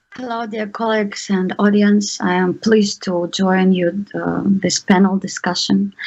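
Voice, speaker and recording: Speaking fairly slowly with hardly any pauses, a woman with a Ukrainian accent keeps a medium pitch and a flat, monotone delivery. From Ukraine. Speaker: panelist. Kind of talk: panel discussion. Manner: halting.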